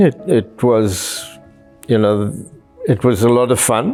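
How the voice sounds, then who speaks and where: A man's medium-pitched voice with music in the background. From South Africa, Cape Town. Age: 70s. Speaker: retiree interviewee. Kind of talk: personal interview monologue.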